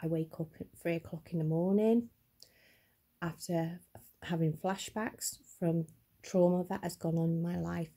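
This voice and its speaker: A woman speaks with a fairly low pitch and a dark, mellow, somewhat breathy tone. She goes at a fairly slow pace with fairly even intonation and long, frequent pauses. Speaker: vlogger. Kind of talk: personal vlog testimony. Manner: stuttering a little.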